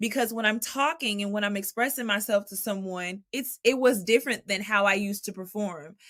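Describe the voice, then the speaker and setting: An animated woman with an American accent talks at a fairly quick pace, with hardly any pauses and ordinary pitch variation. Her loudness swings widely. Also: medium pitch for a woman. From Texas (Dallas). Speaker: jazz vocalist. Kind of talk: interview conversation.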